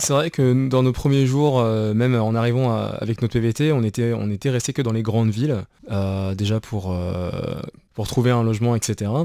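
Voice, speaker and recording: A man's dark, mellow voice sits on a very clean recording against a silent background. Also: medium pitch for a man, ordinary pitch variation, moderate pace. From France. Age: 20s. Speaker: working-holiday traveller. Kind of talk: radio interview. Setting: radio studio. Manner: halting.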